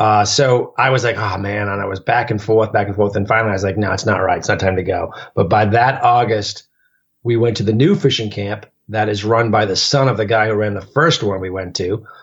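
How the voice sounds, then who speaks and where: Over a quiet background, a man with a fairly low pitch talks at a fairly quick pace, somewhat breathy, with fairly even intonation. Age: 40s. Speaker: long-distance hiker. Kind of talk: casual interview.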